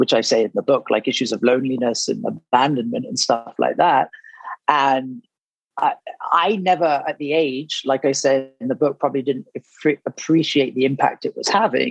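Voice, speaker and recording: The sound is dry and close, with no echo. A man talks with an English accent. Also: moderate pace. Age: 30s. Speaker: author. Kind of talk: interview.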